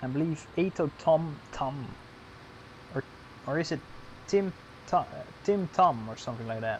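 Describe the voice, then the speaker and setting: A man's fairly high-pitched voice at a moderate pace, broken by long, frequent pauses. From Netherlands. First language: Dutch. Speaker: gaming streamer. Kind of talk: live stream commentary. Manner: halting.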